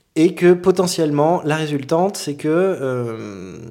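This man has a dark, mellow tone and a fairly high pitch. His pitch variation is ordinary. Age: 30s. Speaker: energy healer. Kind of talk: casual chat.

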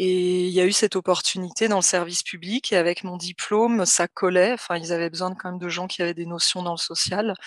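A woman with a medium pitch speaks moderately fast, her intonation fairly even. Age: 30s. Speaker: social worker recovering from burnout. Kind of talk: personal testimony in interview. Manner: halting, many hesitations.

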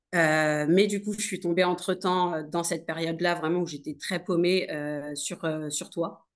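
Her intonation stays monotone and flat. The woman talks fairly slowly. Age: 30s. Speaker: nurse turned entrepreneur. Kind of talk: casual interview. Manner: hesitant, many fillers.

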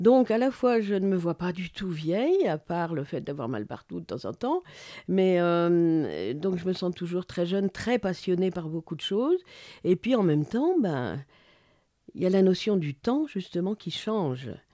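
Dark and mellow in tone, a woman's voice at a medium pitch moves at a fairly slow pace with lively intonation, dry and close with no echo, in a very clean recording with a silent background. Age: 60s. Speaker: journalist and feminist activist. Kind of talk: interview conversation. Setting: home studio.

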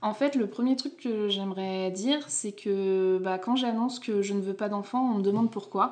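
A woman talks at a moderate pace in a normal speaking voice. Her pitch is medium, with ordinary pitch variation. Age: 30s. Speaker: podcast host. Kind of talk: casual chat.

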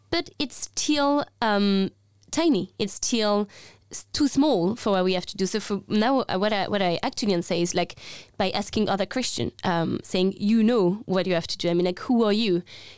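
With a French accent, a woman speaks at medium pitch and a moderate pace, her intonation lively, on a very clean recording with a silent background. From France. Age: 20s. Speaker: climate activist. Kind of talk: casual conversation.

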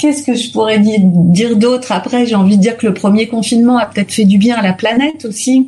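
A woman with a fairly high pitch and ordinary pitch variation speaks at a fairly quick pace with hardly any pauses. Noticeable background noise runs underneath. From Paris region, Hauts-de-Seine. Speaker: resident interviewee, actress and mother. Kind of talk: interview.

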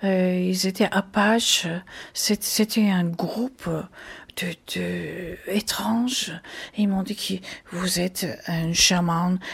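Somewhat breathy and very slow, a woman speaks at a medium pitch with fairly even intonation and long, frequent pauses. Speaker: jazz singer. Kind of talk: interview. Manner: halting.

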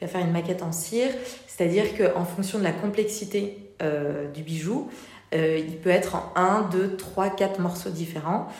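The woman's moderately paced speech carries audible room echo and noticeable background noise. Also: medium pitch for a woman, ordinary pitch variation. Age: 30s. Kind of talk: interview. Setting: showroom. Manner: hesitant, many fillers.

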